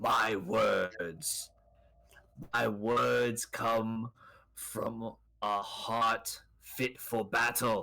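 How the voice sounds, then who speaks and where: Raspy and very slow, a put-on character voice holds its loudness very even. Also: man, medium pitch for a man. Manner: menacing, fierce.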